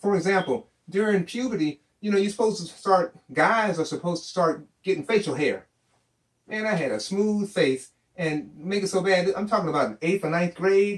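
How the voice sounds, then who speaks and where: The tone is animated, with ordinary pitch variation. Delivery comes at a moderate pace. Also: man, high pitch for a man. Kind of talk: storytelling.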